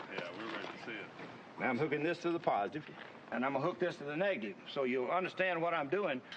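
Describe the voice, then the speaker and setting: Talking at a very fast pace, a man with a fairly high pitch has a Mississippi accent and lively intonation. Noticeable background noise can be heard behind him. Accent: Southern US, Mississippi. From US South, Mississippi. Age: 70s. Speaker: inventor. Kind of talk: demonstration talk. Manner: forceful.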